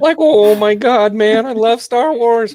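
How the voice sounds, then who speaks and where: Someone performs a put-on character voice with a fairly high pitch at a fairly slow pace. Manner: cartoonish, goofy.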